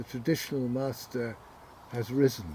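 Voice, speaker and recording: The voice belongs to a man and is somewhat breathy. His pitch stays in the medium range. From southern England, Windsor. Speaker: author and arts organizer. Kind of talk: interview conversation.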